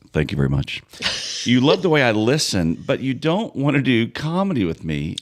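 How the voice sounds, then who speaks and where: Noticeable background noise sits behind a man speaking at a moderate pace. His medium pitch swings very widely. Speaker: podcast co-host, comedian. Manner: playful, bantering.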